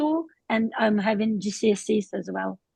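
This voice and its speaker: A woman's fairly high, somewhat breathy voice at a moderate pace, dry and close with no echo. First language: not English. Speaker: adult ESOL learner. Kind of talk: online conference interview. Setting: video call. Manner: halting.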